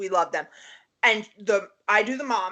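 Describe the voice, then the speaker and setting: This is a woman speaking. She has a strong New York accent. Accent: heavy Queens, New York. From Queens, New York.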